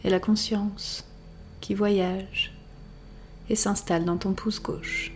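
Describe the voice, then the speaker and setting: A woman's gentle, soothing tone at a very slow pace, with long, frequent pauses and music in the background. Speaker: yoga teacher. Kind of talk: guided meditation. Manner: slow, soothing, calm; soft-spoken, gentle, with long pauses.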